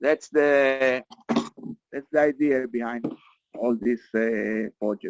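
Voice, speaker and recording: A man at medium pitch, very slow pace, with long, frequent pauses, fairly even intonation and a dry, close sound with no echo. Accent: Israeli. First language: Hebrew. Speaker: meeting facilitator. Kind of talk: online group meeting. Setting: video call from a beach camp. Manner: halting.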